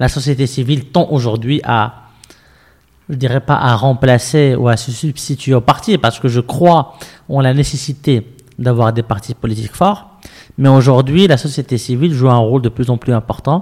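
A man's somewhat breathy voice, very fast, with ordinary pitch variation. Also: medium pitch for a man. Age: 30s. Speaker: civic movement founder. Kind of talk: interview conversation. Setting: movement headquarters.

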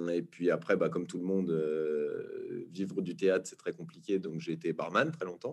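The speech flows at a moderate pace. There are hardly any pauses. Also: man. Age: 30s. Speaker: actor and documentary director. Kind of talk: casual interview. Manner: hesitant, many fillers.

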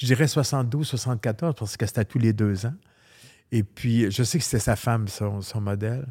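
A man speaks at a fairly slow pace in a somewhat breathy, dark and mellow tone, with a medium pitch, ordinary pitch variation, and a very clean recording against a silent background. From Quebec. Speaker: hairdresser. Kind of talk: interview.

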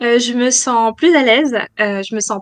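A woman's fairly slow delivery keeps a fairly even intonation. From France, Nantes. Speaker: entrepreneur, interior designer. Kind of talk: interview. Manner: halting.

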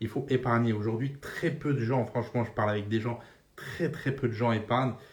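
A man speaks with fairly even intonation and a somewhat breathy quality. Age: 30s. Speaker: personal finance podcaster. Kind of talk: casual monologue. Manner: casual, filler-heavy.

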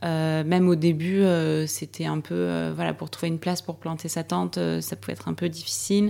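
Noticeable background noise runs through the clip. Under it, a woman talks at a moderate pace. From south-west France. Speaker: hiker and press officer. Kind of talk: interview.

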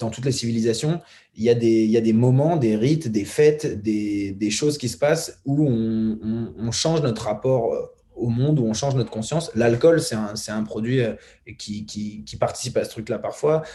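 A man's dark, mellow, somewhat breathy voice at a fairly slow pace, with ordinary pitch variation. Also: medium pitch for a man. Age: 20s. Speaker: documentary filmmaker. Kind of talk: casual chat.

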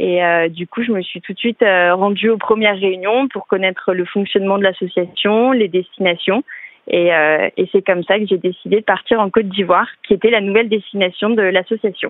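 Here a woman talks at a moderate pace. Her pitch is medium and her intonation fairly even. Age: 20s. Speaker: optician and student. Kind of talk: testimony. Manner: hesitant with fillers.

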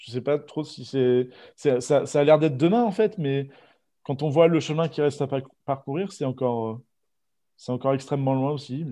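A man with a dark, mellow tone speaks at a moderate pace against a quiet background, with ordinary pitch variation. His loudness swings widely, and he takes long, frequent pauses. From Normandy, France. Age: 20s. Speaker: aspiring record shop owner. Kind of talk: interview.

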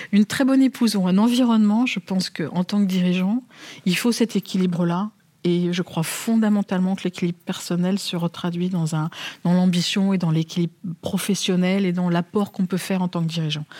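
Somewhat breathy, a woman speaks at a medium pitch in a dark, mellow tone with fairly even intonation and a dry, close sound with no echo. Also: fairly quick pace. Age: 50s. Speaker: bank chief executive. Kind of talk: interview.

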